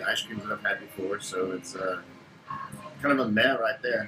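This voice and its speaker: A man talks at a very fast pace while music plays in the background. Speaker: food reviewer. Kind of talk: casual product review. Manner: animated.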